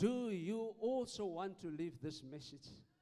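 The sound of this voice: A man's high, dark, mellow voice with lively intonation at a fairly slow pace.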